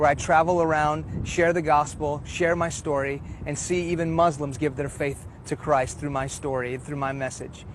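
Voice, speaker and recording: A man with an American accent, fairly high-pitched and monotone with flat intonation, at a fairly quick pace over noticeable background noise. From Houston, Texas (early childhood partly in Iran). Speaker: preacher. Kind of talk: testimony. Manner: earnest.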